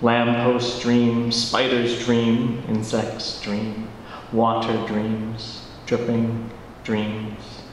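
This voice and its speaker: A man speaks at a very slow pace in a monotone, flat intonation. Light background noise and audible room echo accompany him. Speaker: poet and teacher. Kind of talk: poetry reading. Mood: quiet, dreamy, reflective. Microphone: handheld.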